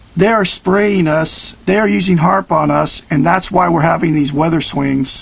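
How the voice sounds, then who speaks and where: An American accent at a moderate pace, with very even loudness, hardly any pauses, ordinary pitch variation and noticeable background noise. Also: man, high pitch for a man. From Oregon, US Pacific Northwest. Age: 50s. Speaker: video blogger. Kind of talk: direct-to-camera monologue. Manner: emphatic, hesitant with many uhs.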